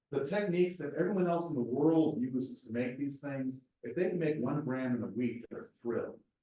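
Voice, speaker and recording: Audible room echo surrounds a man whose voice is fairly high in pitch, with a dark, mellow tone. He keeps a moderate pace and ordinary pitch variation. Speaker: research scientist, seminar speaker. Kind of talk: lecture. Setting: university seminar with audience.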